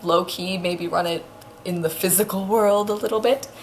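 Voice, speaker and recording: The quiet voice moves at a moderate pace over noticeable background noise. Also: woman. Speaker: vlogger. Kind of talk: casual storytelling vlog.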